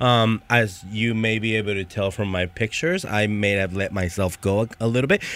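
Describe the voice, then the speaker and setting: Speaking at a moderate pace with hardly any pauses, a man uses a plain, everyday voice with fairly low pitch and fairly even intonation. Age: 30s. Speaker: former college football kicker. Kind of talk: casual chat. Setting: studio.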